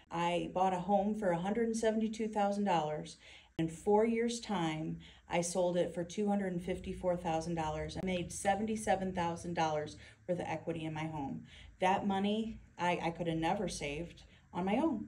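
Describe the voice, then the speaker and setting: Over light background noise, a woman speaks very slowly. Her fairly low pitch carries a dark, mellow tone. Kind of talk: testimonial interview answer. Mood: proud and earnest. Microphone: phone near.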